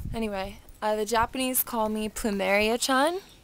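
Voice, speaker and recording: Over noticeable background noise, a woman with a fairly high voice speaks at a moderate pace with fairly even intonation. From Hawaii (Honolulu). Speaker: surfer and fashion brand founder. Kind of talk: personal video tour and life story. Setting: outdoors at her family home. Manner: casual, filler-heavy.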